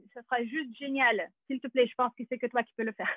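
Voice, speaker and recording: A high-pitched woman at a moderate pace, with a Russian accent. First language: Russian (speaking French). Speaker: actress and acting teacher. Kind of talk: webinar presentation. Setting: video call. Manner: hesitant, many fillers.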